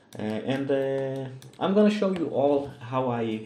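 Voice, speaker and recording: The speech moves at a very slow pace with a lively, varied intonation. Echo from the room is clearly audible. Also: man. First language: Russian. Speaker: 3D modeling tutor. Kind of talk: tutorial. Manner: hesitant, many fillers.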